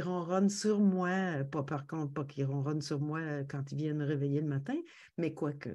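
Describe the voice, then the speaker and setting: A woman speaks with a Quebec accent. Her tone is dark and mellow, with ordinary pitch variation. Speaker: podcast guest. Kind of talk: casual interview chat. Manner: hesitant, many fillers.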